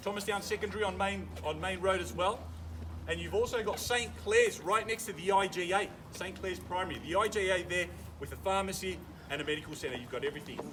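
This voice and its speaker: Fairly quick talk from a man, noticeable noise in the background. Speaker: auctioneer. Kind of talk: live property auction, auctioneer's patter to a crowd. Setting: outdoors at a property auction, addressing a crowd.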